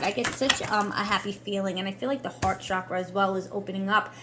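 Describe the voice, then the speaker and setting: Over noticeable background noise, a woman talks at a fairly high pitch and a fairly quick pace. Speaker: tarot reader and reiki practitioner. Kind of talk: tarot card reading.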